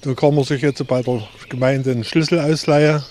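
This man speaks at a moderate pace with fairly even intonation. Noticeable background noise runs underneath. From Erzgebirge, Saxony. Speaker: hiking guide. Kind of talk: guided tour talk.

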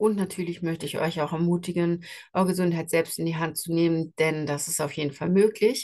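A woman talks at a fairly quick pace, her intonation fairly even and her pitch fairly low. It is an unremarkable speaking voice. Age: 40s. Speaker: podcast host and skin health coach. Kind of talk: solo podcast monologue. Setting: travelling, in Switzerland. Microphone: travel setup without usual microphone, poorer sound.

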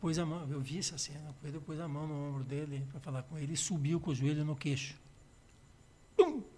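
Speaking at a fairly quick pace, a man has a fairly high pitch and a dark, mellow tone. His voice is somewhat breathy, with fairly even intonation. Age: 70s. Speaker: music producer and musician. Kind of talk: casual chat.

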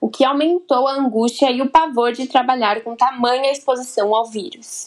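At a moderate pace, a woman with a high pitch and a Brazilian accent speaks with ordinary pitch variation. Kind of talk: scripted narration.

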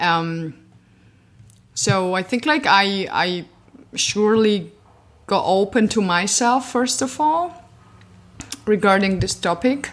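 A woman at a medium pitch, in a Georgian accent, very slow, with lively intonation and long, frequent pauses. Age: 20s. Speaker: podcast guest. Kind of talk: casual interview conversation.

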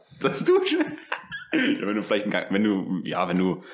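Over noticeable background noise and audible room echo, a man speaks in an animated tone with very wide pitch swings. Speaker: podcast host. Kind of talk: casual chat.

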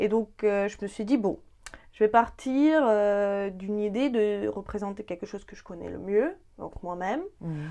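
At a fairly slow pace, a woman with a dark, mellow tone and medium pitch speaks with ordinary pitch variation and big swings in loudness over a quiet background. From Ukraine, Dnipro. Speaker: painter. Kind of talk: interview. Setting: artist's studio. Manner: hesitant.

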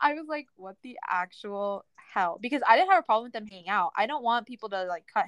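A plain, everyday voice talks at a fairly quick pace with ordinary pitch variation. The sound is dry and close, with no echo. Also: woman. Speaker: podcast co-host. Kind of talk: casual chat.

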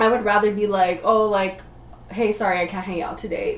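A woman's voice at a medium pitch comes through noticeable background noise. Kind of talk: casual chat. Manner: loud.

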